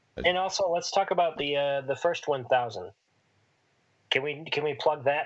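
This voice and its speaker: Mumbling at a moderate pace with long, frequent pauses, a man with a fairly high pitch shows ordinary pitch variation. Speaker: podcast co-host. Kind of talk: casual chat.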